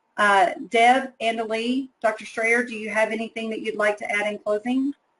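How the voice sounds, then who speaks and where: A woman's fairly high, normal speaking voice with an American accent, at a moderate pace with fairly even intonation. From Texas. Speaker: publisher representative moderating a teacher webinar. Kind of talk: webinar Q&A.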